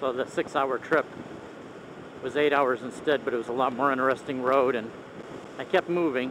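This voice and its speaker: With noticeable background noise but a dry sound with no echo, a man speaks at a moderate pace with fairly even intonation. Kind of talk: casual ride vlog narration. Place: motorbike. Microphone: helmet.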